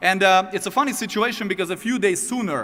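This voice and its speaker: A man's bright, sharp voice is raised and projected at a high pitch. He talks very fast with ordinary pitch variation. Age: 30s. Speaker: network marketing distributor, former sports agent. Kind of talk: motivational testimony.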